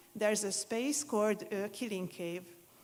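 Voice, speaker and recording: With a Hungarian accent, a woman speaks at a medium pitch. Her intonation stays fairly even. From Hungary, Budapest. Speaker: museum consultant. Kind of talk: conference presentation.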